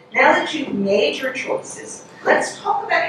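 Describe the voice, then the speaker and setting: A woman with an American accent and a high-pitched voice speaks fairly slowly, with noticeable background noise and audible room echo. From Delaware, US. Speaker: museum executive, keynote speaker. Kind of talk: keynote speech. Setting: stage with audience. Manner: formal.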